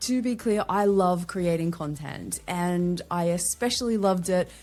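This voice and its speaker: Here is a woman with an Australian accent. She talks at a moderate pace. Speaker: LinkedIn strategist and podcaster. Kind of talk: podcast interview.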